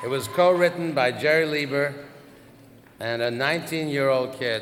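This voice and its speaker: Fairly high-pitched man at a moderate pace, ordinary pitch variation, with noticeable background noise. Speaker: record label executive. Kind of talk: award ceremony induction speech.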